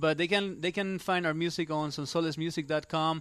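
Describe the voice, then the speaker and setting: Against a quiet background, a man talks in a Spanish accent with fairly even intonation. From Spain. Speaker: musician in a band. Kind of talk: casual interview.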